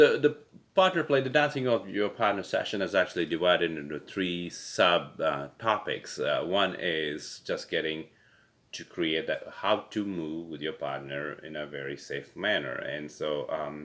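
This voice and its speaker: Speaking at a fairly slow pace, a man with a non-native accent makes big swings in loudness. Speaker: pickleball coach. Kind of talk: casual webinar chat. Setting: webinar recording. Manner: halting, many fillers.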